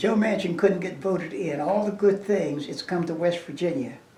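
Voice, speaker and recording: Over noticeable background noise and audible room echo, a man talks at a high pitch. His pace is moderate and his intonation fairly even. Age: 80s+. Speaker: community elder. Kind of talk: interview. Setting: museum. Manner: halting.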